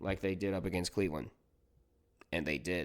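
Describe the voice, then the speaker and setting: Vocal fry runs through a man's dark, mellow, fairly low voice on a very clean recording with a silent background. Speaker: sports commentator. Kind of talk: sports review monologue.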